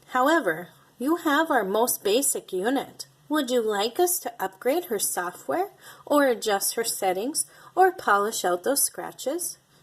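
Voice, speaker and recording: A woman puts on a character voice, speaking in a high pitch at a moderate pace. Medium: read story. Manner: friendly, polite.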